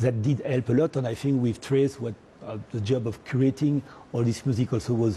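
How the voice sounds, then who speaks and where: Against noticeable background noise, a man with a French accent speaks at medium pitch and a moderate pace with fairly even intonation. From French Caribbean. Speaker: media entrepreneur. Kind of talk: TV interview. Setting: TV studio. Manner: hesitant, many fillers.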